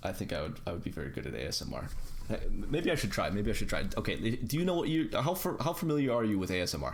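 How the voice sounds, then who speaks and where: A man talks at a very fast pace with very wide pitch swings and vocal fry. Audible room echo surrounds his voice. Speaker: podcast host. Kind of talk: casual chat. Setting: online voice call. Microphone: audio cutting out.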